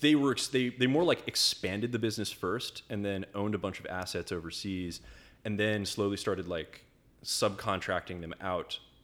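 With an American accent, a man speaks in an ordinary speaking voice, fairly low in pitch, with ordinary pitch variation at a moderate pace. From Mexico and upstate New York. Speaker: world traveler. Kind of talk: casual chat.

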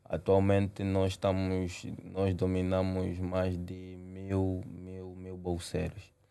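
The voice has a dark, mellow tone and an Angolan accent, with monotone, flat intonation. It moves at a very slow pace with hardly any pauses and big swings in loudness. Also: man, very deep, low pitch for a man. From Angola, Luanda. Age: 20s. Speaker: young entrepreneur, company CEO. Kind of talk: interview.

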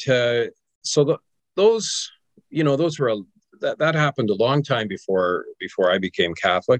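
The man's voice sits at a medium pitch and sounds dry and close, with no echo. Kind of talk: interview.

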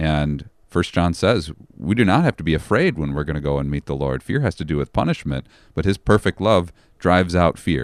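A man talks in a very deep, low voice with vocal fry and ordinary pitch variation. The sound is dry and close, with no echo. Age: 40s. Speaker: pastor. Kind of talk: casual chat.

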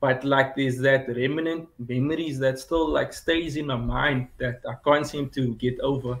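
Speaking at a fairly slow pace, the man has a medium pitch, a somewhat breathy voice and monotone, flat intonation. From South Africa, Cape Town. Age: 20s. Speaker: caller, small business owner. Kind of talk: call-in question.

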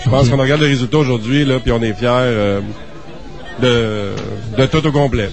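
Speaking at a fairly quick pace with fairly even intonation and very even loudness, a man at medium pitch leaves long, frequent pauses. Crowd noise sits in the background, and the room echo is audible. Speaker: independent film producer. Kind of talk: interview.

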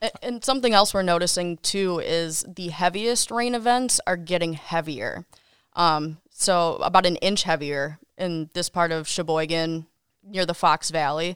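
In a very clean recording with a silent background, a woman with a plain, everyday voice talks at a fairly slow pace, her fairly low pitch showing ordinary variation. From Wisconsin, Kenosha. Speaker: TV meteorologist. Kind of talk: casual interview.

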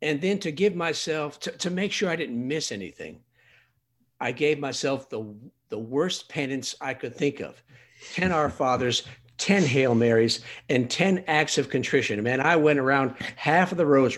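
Speaking at a medium tempo, a man with an unremarkable speaking voice sounds fairly high-pitched, and his pitch moves in a normal way. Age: 60s. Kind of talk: personal testimony in conversation.

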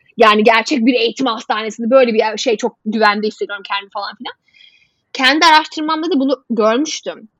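In a dry, close sound with no echo, a woman with an unremarkable speaking voice talks fairly quickly at a fairly high pitch. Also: ordinary pitch variation. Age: 30s. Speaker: health journalist. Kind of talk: casual interview. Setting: video call.

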